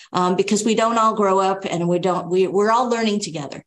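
With a General American accent, a woman talks at a fairly quick pace. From California. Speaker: librarian; panelist. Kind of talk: panel discussion. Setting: video call. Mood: earnest, reflective. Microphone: video call.

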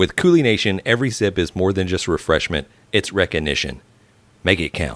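Talking at a fairly quick pace, a man with a very deep, low pitch shows vocal fry and lively intonation. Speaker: barbecue podcast host. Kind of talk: casual chat.

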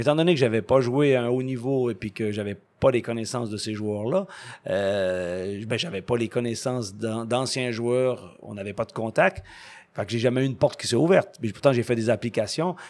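A man with a plain, everyday voice talks at a moderate pace with ordinary pitch variation. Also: medium pitch for a man. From Quebec. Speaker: ice hockey coach. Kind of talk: interview. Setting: ice rink.

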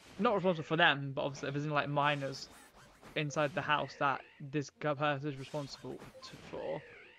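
Speaking very fast with a British accent, a man keeps a fairly even intonation over light background noise in a dry sound with no echo. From United Kingdom. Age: young. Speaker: gaming streamer. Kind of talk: live-stream gameplay commentary. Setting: home, live stream. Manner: casual, rambling. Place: home room.

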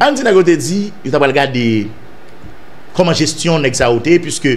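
A man speaks with a Haitian accent at a fairly high pitch, his voice making very wide swings in pitch. Light background noise can be heard. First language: Haitian Creole (speaking French). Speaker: political news commentator. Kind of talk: news commentary monologue. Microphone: studio mic.

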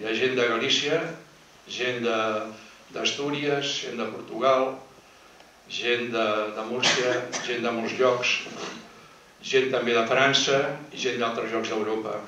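A man speaks at a very slow pace in a monotone, flat intonation. Audible room echo and light background noise fill the recording. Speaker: panel speaker at a commemorative talk. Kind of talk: public talk to an audience. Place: hall.

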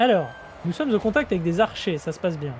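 Against noticeable background noise, a man talks with very wide pitch swings. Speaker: gaming YouTuber. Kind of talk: casual chat. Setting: video call.

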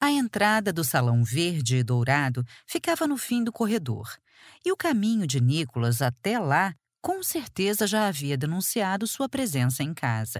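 A woman's fairly low voice at a moderate pace, swinging very widely in pitch, on a very clean recording with a silent background. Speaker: audiobook narrator. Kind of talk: audiobook reading of a historical romance novel, scripted narration with character voices. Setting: studio. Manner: measured, expressive storytelling pace, with dry wit and shifts of tone for dialogue.

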